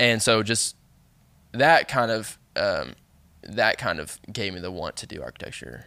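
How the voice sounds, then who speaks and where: A man speaks at a fairly slow pace, with long, frequent pauses and big swings in loudness. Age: 20s. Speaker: podcast guest, host's younger cousin. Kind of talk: casual chat. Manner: halting, restarts sentences.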